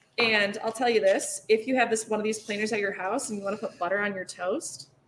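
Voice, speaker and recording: A woman with an American accent talks at a fairly quick pace and fairly high pitch, with ordinary pitch variation. Noticeable background noise runs behind her. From Michigan, US. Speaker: cheesemonger. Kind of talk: casual chat.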